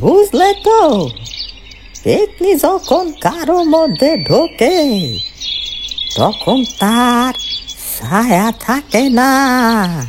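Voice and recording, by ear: A cartoonish character voice moves at a very slow pace with very wide pitch swings over clear background noise. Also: man, extremely high pitch for a man.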